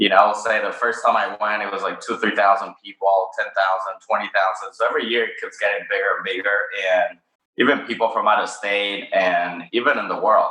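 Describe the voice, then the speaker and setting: A fairly quick pace in a Spanish accent. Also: man. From Mexico City, Mexico. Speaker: cannabis company founder. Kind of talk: interview. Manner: hesitant, many fillers.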